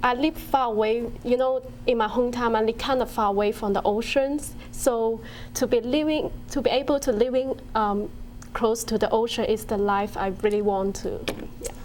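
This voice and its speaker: Delivered at a moderate pace, the speech carries a Chinese accent and fairly even intonation. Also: woman, fairly high pitch for a woman. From China. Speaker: university student. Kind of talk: interview. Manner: hesitant, many um fillers.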